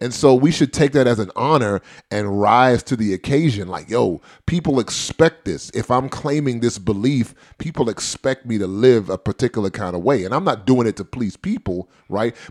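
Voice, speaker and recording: A man with an ordinary speaking voice talks at a moderate pace and medium pitch with lively intonation, in a very clean recording with a silent background. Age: 30s. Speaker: podcast host. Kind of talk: casual chat.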